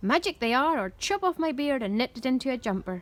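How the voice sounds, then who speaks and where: Putting on a croaky character voice, a woman talks at a very fast pace in a raised, projected voice, her pitch high with very wide swings. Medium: read story.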